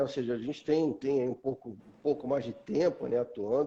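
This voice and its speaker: A man speaks at a moderate pace. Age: 50s. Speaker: metrology specialist. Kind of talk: live stream conversation. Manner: hesitant, many fillers.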